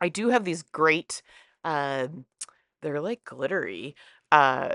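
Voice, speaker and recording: An animated tone and lively intonation, in a dry, close sound with no echo and a quiet background. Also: woman. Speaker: scrapbooking youtuber. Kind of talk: crafting tutorial voiceover. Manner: fast.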